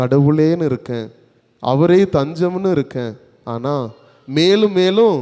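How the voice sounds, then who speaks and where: The man's voice has a dark, mellow tone. His intonation is lively. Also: fairly high pitch for a man. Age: 30s. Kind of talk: sermon.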